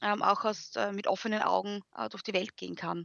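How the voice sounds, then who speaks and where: A woman speaks with an Austrian accent and vocal fry. Her pitch is fairly high and her pace moderate. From Austria, Graz. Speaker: university lecturer and education blogger. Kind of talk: interview.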